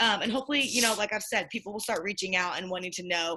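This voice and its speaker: A woman speaks with a bright, sharp tone. Her pitch variation is ordinary. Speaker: direct sales consultant. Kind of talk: group call presentation. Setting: group call. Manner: fast; animated.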